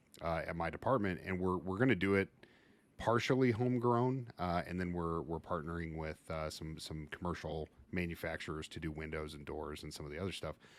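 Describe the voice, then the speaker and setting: The speech moves at a fairly quick pace with ordinary pitch variation. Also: man, very deep, low pitch for a man. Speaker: fire service instructor and podcast host. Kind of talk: casual podcast interview. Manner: loud, boisterous.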